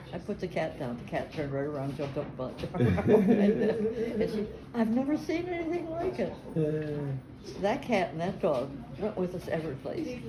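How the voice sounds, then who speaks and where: Noticeable background noise sits under a woman speaking with an American accent at a moderate pace, her medium pitch making very wide swings. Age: 80s+. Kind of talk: family storytelling interview.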